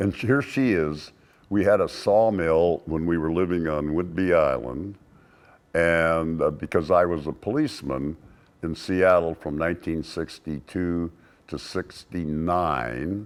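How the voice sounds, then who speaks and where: A very deep, low-pitched man's voice in an American accent, at a fairly slow pace with ordinary pitch variation. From US West (rural Oregon). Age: 80s+. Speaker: singer-songwriter and author. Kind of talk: interview.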